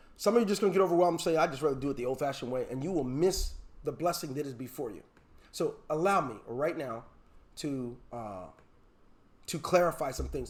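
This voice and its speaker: Very fast, animated speech with lively intonation, big swings in loudness, and long, frequent pauses. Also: man, fairly high pitch for a man. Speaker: online marketing trainer. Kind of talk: webinar training session.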